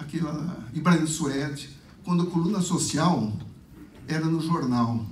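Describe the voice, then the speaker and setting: Audible room echo surrounds a man with a fairly high pitch. He talks at a fairly slow pace. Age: 60s. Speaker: lecturer. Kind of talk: lecture.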